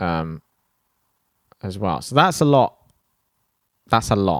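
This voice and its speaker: A man with an English accent in a relaxed tone, his pitch fairly low, in a very clean recording with a silent background and a dry, close sound with no echo. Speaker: podcast host. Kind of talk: podcast outro monologue. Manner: rambling, relaxed.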